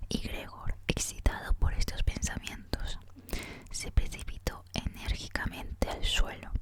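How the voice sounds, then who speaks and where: Fairly slow whispering from a woman, with noticeable background noise. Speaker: ASMR content creator. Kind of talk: audiobook reading, ASMR. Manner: soft, whispered.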